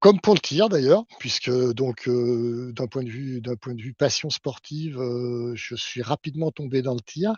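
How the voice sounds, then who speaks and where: In an unremarkable speaking voice, a man talks at a fairly slow pace with ordinary pitch variation and hardly any pauses. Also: medium pitch for a man, big swings in loudness. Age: 60s. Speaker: sport shooting official and engineer. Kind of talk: podcast interview.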